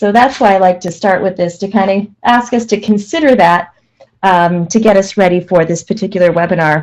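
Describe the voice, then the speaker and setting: A woman speaks at a moderate pace with medium pitch and ordinary pitch variation, in an ordinary speaking voice. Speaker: management consultant presenting a webinar. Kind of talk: webinar presentation. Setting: online webinar.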